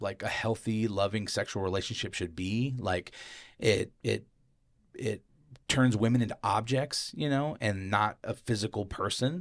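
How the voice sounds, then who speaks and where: This man has a fairly low pitch and a plain, everyday voice. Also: ordinary pitch variation, moderate pace, very clean recording, silent background. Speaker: podcast host. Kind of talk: casual chat.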